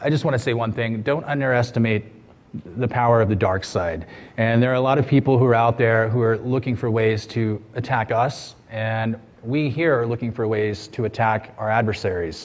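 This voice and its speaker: A man with a plain, everyday voice and an American accent, medium pitch, fairly even intonation and moderate pace. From USA. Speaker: security researcher. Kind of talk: conference talk. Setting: stage with audience.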